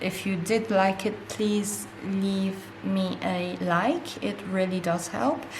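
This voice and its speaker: Over noticeable background noise and audible room echo, a woman with a non-native accent speaks at a medium pitch with ordinary pitch variation. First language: not English. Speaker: art supplies YouTuber. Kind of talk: casual unboxing vlog. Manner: hesitant at times.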